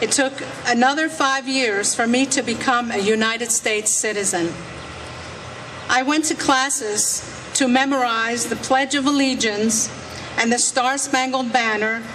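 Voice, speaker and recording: Over noticeable background noise, a woman speaks at a fairly slow pace with fairly even intonation and very even loudness. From France, Alsace near German border. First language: French. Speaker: legal immigrant speaker at rally. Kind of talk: speech.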